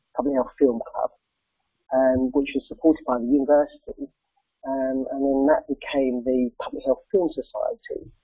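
With music in the background, a man speaks at a moderate pace in a dry sound with no echo. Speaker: film society president. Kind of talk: presentation. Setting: video call with slides. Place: office. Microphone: earbuds.

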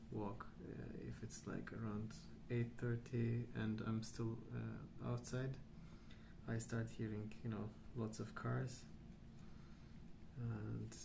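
A soft-spoken man talks at a very slow pace with long, frequent pauses. Background noise is noticeable. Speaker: ASMR artist. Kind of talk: casual rambling while colouring. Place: home room.

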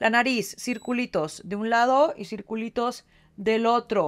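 Over a quiet background, a woman is talking. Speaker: beauty product demonstrator. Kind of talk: tutorial. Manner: casual, chatty. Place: bathroom. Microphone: phone near.

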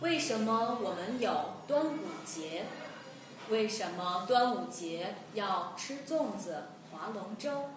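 A woman speaks at a very slow pace. Faint music plays in the background, and the room echo is audible. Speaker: Chinese language teacher. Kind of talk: slow simple-language lesson. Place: home room.

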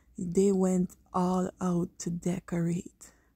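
A woman with a dark, mellow tone sounds somewhat breathy, in a dry sound with no echo over a quiet background. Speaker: vlogger visiting light display. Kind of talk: casual vlog chat. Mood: amazed, admiring. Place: garden. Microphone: phone near.

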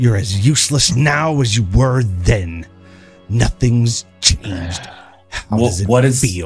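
A man's put-on character voice at medium pitch, very slow in pace, with faint music in the background. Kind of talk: horror spirit voice. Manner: taunting, contemptuous, menacing.

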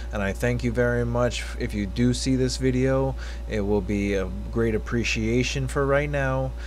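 A man speaks at a moderate pace with light background noise. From Hawaii, USA. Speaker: YouTube reaction video creator. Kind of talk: casual talk to camera. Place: home room. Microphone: webcam.

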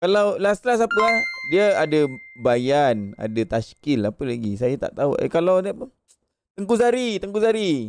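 A man speaks at a high pitch with very wide pitch swings. The sound is dry, with no echo. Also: moderate pace. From Malaysia. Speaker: gaming livestreamer. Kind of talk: casual livestream chat. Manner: animated. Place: home room. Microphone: studio mic.

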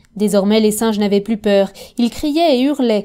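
Speaking at a moderate pace, a woman has a plain, everyday voice with a fairly high pitch. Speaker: audiobook narrator.

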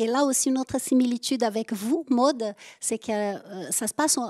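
Against a quiet background, a woman talks at a moderate pace in a high pitch, keeping her intonation fairly even. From southern France. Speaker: interviewer at a book event. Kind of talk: interview question. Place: stage. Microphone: handheld.

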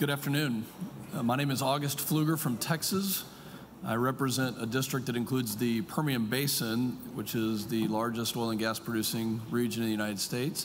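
Speech moves at a fairly quick pace with ordinary pitch variation. Noticeable background noise is present. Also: man. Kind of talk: prepared statement. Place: hall. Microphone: podium.

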